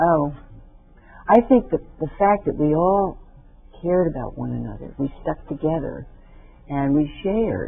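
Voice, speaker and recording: With music in the background, a woman with a very deep, low pitch talks at a moderate pace, her intonation lively and broken by long, frequent pauses. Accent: American. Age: 80s+. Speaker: memoir author. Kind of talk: TV interview answer.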